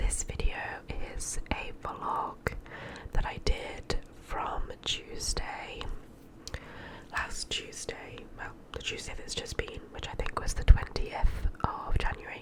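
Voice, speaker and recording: A woman whispers at a very slow pace with long, frequent pauses. Noticeable background noise runs underneath. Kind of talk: whispered ASMR vlog voiceover. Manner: whispered.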